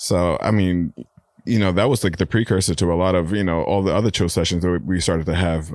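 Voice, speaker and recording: In a very clean recording with a silent background, a man with a New York accent speaks at a fairly quick pace. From New York (Brooklyn and Queens). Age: 30s. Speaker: artist. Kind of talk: casual chat.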